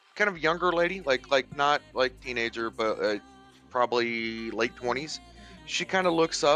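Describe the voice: The intonation is lively as this plain reading aloud goes on.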